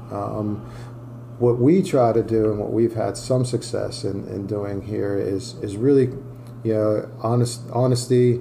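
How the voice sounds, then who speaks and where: A man with an American accent at a fairly slow pace, medium pitch and fairly even intonation, with noticeable background noise and audible room echo. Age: 50s. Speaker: college soccer coach. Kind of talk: interview. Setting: in-person in his office.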